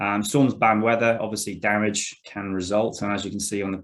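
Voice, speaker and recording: On a very clean recording with a silent background, a man with an Australian accent talks fairly quickly at a fairly low pitch in a monotone, flat intonation. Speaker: arborist presenter. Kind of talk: presentation. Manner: fast.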